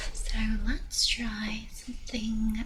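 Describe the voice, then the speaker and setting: A woman speaks with noticeable background noise. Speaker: ASMR creator. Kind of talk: casual talk to camera, ASMR. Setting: indoors on a borrowed quiet space with a binaural mic.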